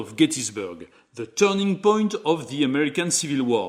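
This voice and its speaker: A man with a French accent, fairly high in pitch, swinging very widely in pitch at a moderate pace. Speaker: board game reviewer. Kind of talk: tutorial.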